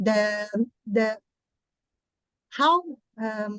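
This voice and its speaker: This woman speaks with a Portuguese accent at a fairly high pitch. Her pitch varies in an ordinary way, and the sound is dry and close with no echo. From Brazil. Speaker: therapist and conference presenter. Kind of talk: conference presentation. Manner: halting.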